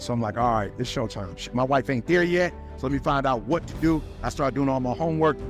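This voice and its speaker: Music plays in the background as a man speaks in an energetic, passionate tone. His medium pitch has ordinary variation, at a moderate pace. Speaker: motivational speaker. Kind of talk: personal story told to an audience.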